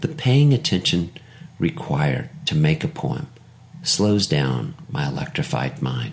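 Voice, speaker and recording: Against noticeable background noise, a man with a very deep, low voice speaks at a fairly slow pace, his pitch swinging very widely. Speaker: poet and author. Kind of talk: poem performed, then reflective essay-style reading. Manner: measured, lyrical, contemplative.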